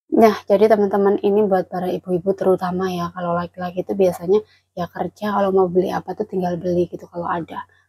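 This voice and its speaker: A quiet woman's voice, medium in pitch, dark and mellow in tone, monotone and flat, very fast with hardly any pauses. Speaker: migrant domestic worker vlogger. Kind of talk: casual vlog chat. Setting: indoors at employer's home. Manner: quiet, held-back voice.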